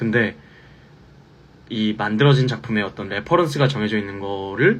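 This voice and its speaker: A man talks at a moderate pace and a medium pitch. His voice has vocal fry. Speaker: musical theatre actor. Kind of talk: fan Q&A live stream.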